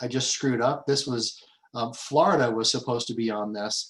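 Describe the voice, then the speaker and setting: Fairly even intonation at a fairly slow pace. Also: man. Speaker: business advocacy group president. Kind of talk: webinar presentation. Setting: webinar. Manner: halting, many fillers.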